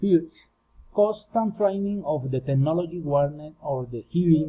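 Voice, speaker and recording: In a Spanish accent, a man speaks at a fairly slow pace with lively intonation. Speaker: student. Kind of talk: class presentation. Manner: halting.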